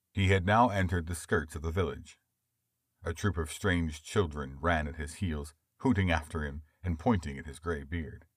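A man with an American accent speaks at a very deep, low pitch, somewhat breathy. His pitch variation is ordinary, and the recording is very clean with a silent background. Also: moderate pace. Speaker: audiobook narrator. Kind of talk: literary audiobook narration. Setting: studio. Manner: smooth, measured storytelling pace; expressive, shifting tone for dialogue.

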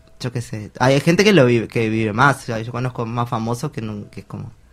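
Delivered at a moderate pace, a normal speaking voice holds a fairly even intonation. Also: man. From Argentina, small town. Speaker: interviewee. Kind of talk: interview testimony.

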